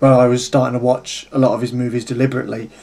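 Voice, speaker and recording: Noticeable background noise accompanies a man whose voice sits at a medium pitch. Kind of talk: casual talk to camera. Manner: stutters, loses track at start.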